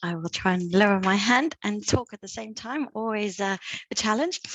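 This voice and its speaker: A woman speaks at a moderate pace with a British accent and a medium pitch. The sound is dry and close, with no echo. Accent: British, noticeable. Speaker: speech-language pathologist. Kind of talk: question at online event. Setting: video call.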